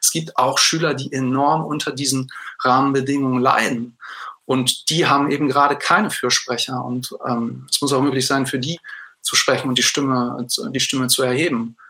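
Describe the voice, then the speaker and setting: Here a man talks at a moderate pace and medium pitch. His tone is bright and sharp, with fairly even intonation. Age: 30s. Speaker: secondary school teacher. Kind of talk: interview. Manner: hesitant, with fillers.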